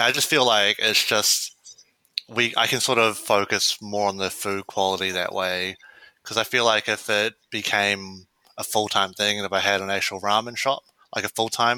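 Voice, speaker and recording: A man with a New Zealand accent speaks at a fairly low pitch in a bright, sharp tone. The recording is very clean, with a silent background. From New Zealand, Wellington. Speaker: systems analyst running a ramen pop-up. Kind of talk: interview. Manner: hesitant, many fillers.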